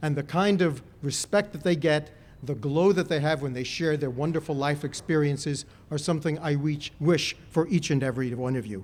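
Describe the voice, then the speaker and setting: At a moderate pace, a man talks in a normal speaking voice with a fairly high pitch and ordinary pitch variation. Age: 60s. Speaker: college official giving ceremony speech. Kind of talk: ceremonial speech. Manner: formal.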